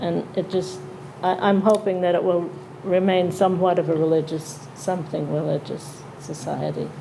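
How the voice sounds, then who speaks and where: Audible room echo and noticeable background noise surround a woman with an American accent and a fairly low pitch, speaking at a moderate pace with fairly even intonation. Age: 80s+. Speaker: town elder. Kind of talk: panel discussion. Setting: town hall with audience.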